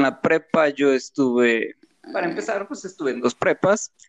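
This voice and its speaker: Dry and close with no echo, a man's plain, everyday voice moves at a moderate pace with lively intonation. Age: 30s. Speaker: podcast guest, designer. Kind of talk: casual chat. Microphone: cutting out, too far from mic.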